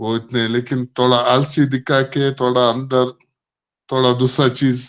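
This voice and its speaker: A man with a non-native accent and monotone, flat intonation. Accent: non-native Hindi. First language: not Hindi (speaking Hindi). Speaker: online business network member. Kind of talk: speech telling a story at an online meeting. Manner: halting.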